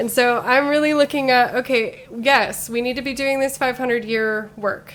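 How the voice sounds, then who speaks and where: A woman with a normal speaking voice and an American accent talks at a fairly quick pace with fairly even intonation. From Utah. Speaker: city council candidate. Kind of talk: podcast interview.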